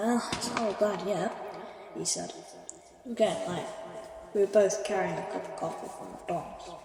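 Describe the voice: Someone does plain reading aloud, keeping the intonation fairly even.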